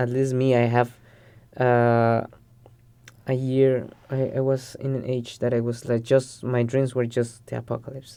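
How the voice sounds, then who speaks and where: A man with a Spanish accent speaks at medium pitch with a dark, mellow tone and monotone, flat intonation. He keeps a fairly slow pace with long, frequent pauses. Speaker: podcast guest. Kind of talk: casual chat. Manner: halting, with repeated words.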